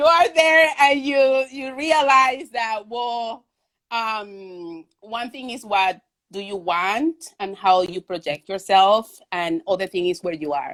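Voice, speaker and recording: A woman with a Venezuelan accent at a very slow pace, fairly high pitch with very wide swings, and big swings in loudness. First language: Spanish. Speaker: artist. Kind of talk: interview conversation. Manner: halting, many fillers.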